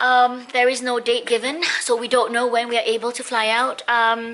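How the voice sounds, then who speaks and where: A woman's high-pitched, raised and projected voice at a fairly slow pace, over noticeable background noise. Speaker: lifestyle vlogger. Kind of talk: casual vlog. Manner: perky, chirpy.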